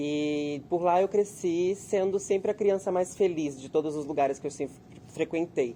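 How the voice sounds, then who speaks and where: This man's high-pitched voice has a dark, mellow tone, ordinary pitch variation and a moderate pace. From Brazil, Volta Redonda, southern Rio de Janeiro state. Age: 20s. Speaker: actor. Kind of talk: interview testimony.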